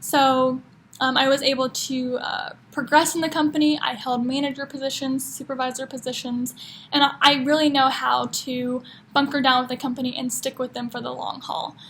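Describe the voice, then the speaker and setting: A woman's high, flat, monotone voice at a moderate pace, with an American accent. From Kansas City, Missouri (US Midwest). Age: 20s. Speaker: job applicant. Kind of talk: video job application answering interview questions. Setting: one-way video recording. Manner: casual, with frequent fillers.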